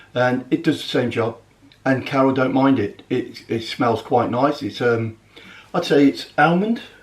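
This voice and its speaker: A man's medium-pitched, somewhat breathy voice. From English Midlands. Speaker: motorhome vlogger. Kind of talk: casual vlog talk. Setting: home kitchen.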